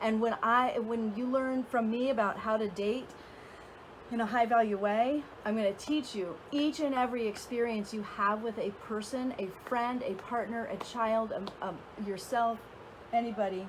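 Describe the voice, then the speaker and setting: A woman's fairly high pitch and fairly even intonation at a moderate pace, over noticeable background noise. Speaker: dating and relationship coach. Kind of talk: casual vlog talk to camera. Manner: hesitant with fillers.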